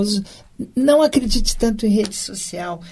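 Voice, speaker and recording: A woman speaks at a fairly slow pace in a fairly high, somewhat breathy voice with a dark, mellow tone and lively intonation. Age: 60s. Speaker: former city councillor and municipal secretary. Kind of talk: interview.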